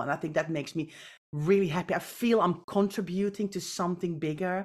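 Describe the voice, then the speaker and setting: A woman with a Dutch accent at a fairly quick pace, with ordinary pitch variation, on a very clean recording with a silent background. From Netherlands. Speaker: professional home organizer. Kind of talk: casual interview.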